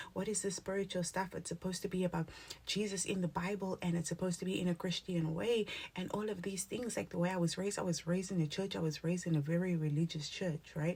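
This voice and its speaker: A woman's somewhat breathy, animated tone at a fairly low pitch. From South Africa, Cape Town (Cape Flats). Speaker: spiritual content creator. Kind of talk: motivational talk to camera. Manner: animated, casual.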